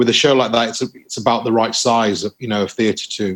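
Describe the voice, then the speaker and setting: A man speaks with a Lancashire accent. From northern England, Bolton. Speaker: actor. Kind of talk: interview. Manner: hesitant, many fillers.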